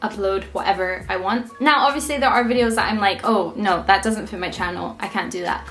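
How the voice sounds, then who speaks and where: A woman's fairly high voice at a fairly quick pace with ordinary pitch variation, audible room echo and music in the background. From Scotland, Edinburgh. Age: 20s. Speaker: lifestyle YouTuber. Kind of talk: casual vlog advice. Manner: chatty, filler-heavy.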